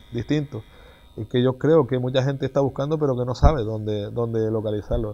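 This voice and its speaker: The speaker is a man with a medium pitch. His tone is dark and mellow. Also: ordinary pitch variation. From Canary Islands. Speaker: mayor. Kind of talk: casual interview. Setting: outdoors. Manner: halting, repeats words. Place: street. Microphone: lapel.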